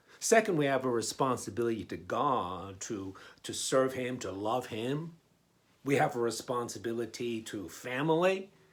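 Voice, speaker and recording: Here is a man with a plain, everyday voice at a medium pitch. He talks at a moderate pace with lively intonation. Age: 60s. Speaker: pastor. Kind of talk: sermon. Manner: conversational, frequent fillers and repetitions.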